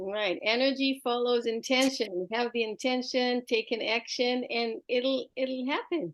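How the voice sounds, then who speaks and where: A woman with an Israeli accent speaks in a high pitch at a fairly slow pace. Her loudness stays very even. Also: ordinary pitch variation. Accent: Israeli accent, mistaken for Quebec French. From Israel (Jerusalem). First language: Hebrew. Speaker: art teacher and homeschooling educator. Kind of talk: interview conversation.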